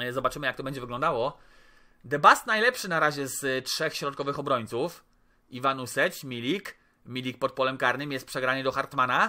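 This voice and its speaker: A man's bright, sharp tone against a quiet background. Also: fairly high pitch for a man, ordinary pitch variation, fairly quick pace. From Poland. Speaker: gaming YouTuber. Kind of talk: gameplay commentary. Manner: animated. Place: home room.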